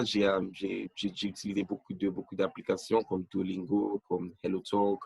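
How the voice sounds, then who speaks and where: Fairly slow male speech in a dry, close sound with no echo. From Nigeria. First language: not French (English-speaking country) (speaking French). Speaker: language learner. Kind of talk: interview. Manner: halting, many fillers.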